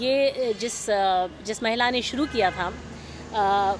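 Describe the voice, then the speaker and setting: A woman with ordinary pitch variation, against noticeable background noise. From India, Lucknow. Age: 60s. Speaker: school representative. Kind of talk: interview. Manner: hesitant, many fillers.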